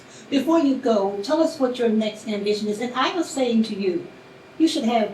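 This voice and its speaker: A woman talks in a space with audible room echo while noticeable background noise persists. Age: 70s. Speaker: lifestyle and etiquette coach, talk show host. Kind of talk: interview.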